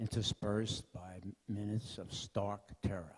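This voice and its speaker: This man's fairly low voice has a dark, mellow tone and a monotone, flat intonation. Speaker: war veteran. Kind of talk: speech.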